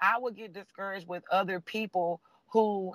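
The voice is raised and projected, with a bright, sharp tone and fairly even intonation at a moderate pace. The recording is very clean with a silent background, and the sound is dry and close with no echo. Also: man. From Nashville, Tennessee. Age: 20s. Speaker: coaching client sharing story. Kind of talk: casual interview, testimony.

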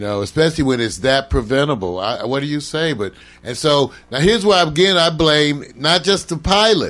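Over music in the background, speech with very wide pitch swings moves at a moderate pace with hardly any pauses. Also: man, fairly high pitch for a man. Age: 60s. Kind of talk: casual chat. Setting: livestream.

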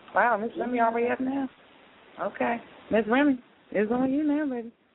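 A woman talks at a fairly high pitch with a slightly husky edge. Her pace is moderate and her pitch variation ordinary.

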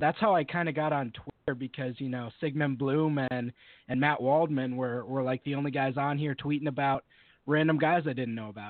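A man's plain, everyday voice, medium in pitch, with ordinary pitch variation, a moderate pace and an American accent. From Western Massachusetts. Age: 20s. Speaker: football writer. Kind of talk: casual interview.

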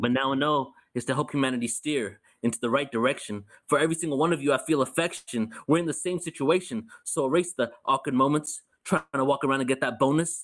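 At a very fast pace, a man with a fairly high pitch speaks with ordinary pitch variation. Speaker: spoken word artist. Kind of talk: spoken word performance. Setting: video call. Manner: meditative cadence.

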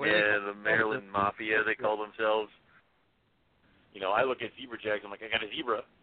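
A man talks at a fairly quick pace and a fairly low pitch, with monotone, flat intonation. His loudness swings widely, and he takes long, frequent pauses. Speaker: podcast co-host.

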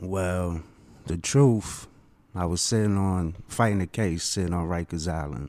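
A man speaks with a New York accent. His voice is very deep, low, dark and mellow, with ordinary pitch variation. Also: fairly slow pace, very clean recording, silent background. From Queens, New York. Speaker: first-time author. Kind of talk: panel discussion. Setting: studio.

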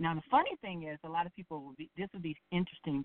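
A woman with an American accent has a normal speaking voice. Her pitch is fairly low, and her intonation fairly even. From South Bend, Indiana. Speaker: drag pageant titleholder. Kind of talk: casual interview.

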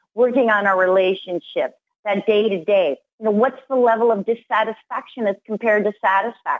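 Using a plain, everyday voice, a woman talks at a moderate pace in a fairly high pitch with lively intonation. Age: 50s. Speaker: motivational speaker and business coach. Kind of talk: interview.

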